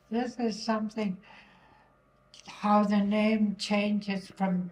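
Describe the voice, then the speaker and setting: A woman's medium-pitched, somewhat breathy voice, monotone and flat, at a very slow pace. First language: Inuvialuktun. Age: 80s+. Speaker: elder. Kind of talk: casual chat.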